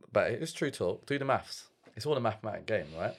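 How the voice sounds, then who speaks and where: A man with a London accent, on a very clean recording with a silent background. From East London (Stratford / Forest Gate). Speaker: start-up founder. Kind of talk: casual chat. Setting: studio.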